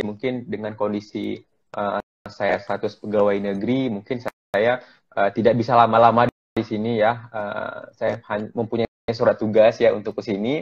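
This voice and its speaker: A man speaks at a moderate pace against a quiet background. His intonation is monotone and flat. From Aceh, Indonesia. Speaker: doctor, COVID-19 volunteer; guest. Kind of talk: online interview. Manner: halting, many fillers. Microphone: choppy connection; earbuds.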